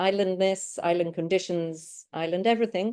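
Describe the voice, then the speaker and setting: A woman with an English accent speaks at a moderate pace and medium pitch in a dark, mellow tone. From United Kingdom. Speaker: academic researcher presenting. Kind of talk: academic conference presentation.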